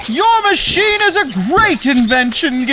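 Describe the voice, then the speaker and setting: Someone puts on a character voice at a fairly slow pace, with background noise clearly audible. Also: man. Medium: read story. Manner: booming, bossy.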